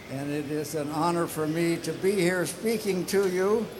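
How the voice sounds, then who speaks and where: Amid noticeable background noise and audible room echo, a man with a high pitch speaks at a fairly slow pace. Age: 90s. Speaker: retired air force test pilot. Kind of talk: acceptance speech. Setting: stage with audience. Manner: halting.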